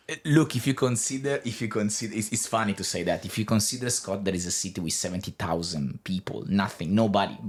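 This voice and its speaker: Very fast delivery with hardly any pauses and ordinary pitch variation, in a very clean recording with a silent background. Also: man, fairly low pitch for a man. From northern Italy, Savona. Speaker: podcast guest. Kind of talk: interview testimony. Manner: halting.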